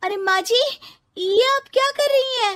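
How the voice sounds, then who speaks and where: A woman's squeaky, put-on character voice, extremely high-pitched, raised and projected, at a moderate pace with ordinary pitch variation. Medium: cartoon.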